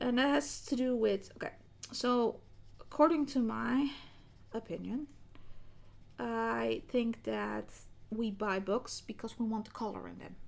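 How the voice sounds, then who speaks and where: Speaking at a fairly slow pace with a non-native accent, the voice has long, frequent pauses and big swings in loudness. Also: woman. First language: not English. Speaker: colouring hobby youtuber. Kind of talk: casual vlog talk. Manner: hesitant, many fillers.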